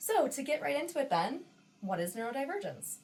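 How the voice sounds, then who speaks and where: With a Western New York accent and very wide pitch swings, a woman speaks over noticeable background noise. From Western New York, US. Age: 20s. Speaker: podcast co-host, nurse practitioner. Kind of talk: casual podcast chat.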